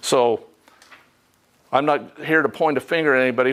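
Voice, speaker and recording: Keeping a moderate pace, a man talks with pitch that varies in an ordinary way. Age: 60s. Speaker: energy code instructor. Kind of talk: lecture.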